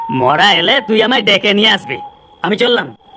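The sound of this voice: A man uses a cartoonish character voice, high-pitched, raised and projected, with lively intonation. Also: moderate pace.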